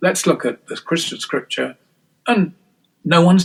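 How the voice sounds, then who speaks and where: A man with an English accent speaks at a high pitch and a fairly quick pace. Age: 60s. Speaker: scholar and author. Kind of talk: interview. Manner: halting, many false starts.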